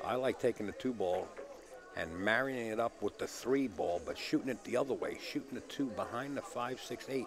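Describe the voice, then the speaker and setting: A man is speaking at a moderate pace. Noticeable background noise runs under his voice. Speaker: pool commentator. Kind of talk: live commentary. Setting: live stream from a pool hall. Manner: slight stutter; relaxed.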